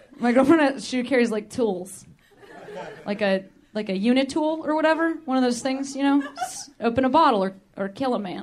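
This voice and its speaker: A woman with an American accent talks at a high pitch with lively intonation over noticeable background noise. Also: moderate pace. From Chicago. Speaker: stand-up comedy show host. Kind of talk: stand-up / crowd work. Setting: stage with audience. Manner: animated.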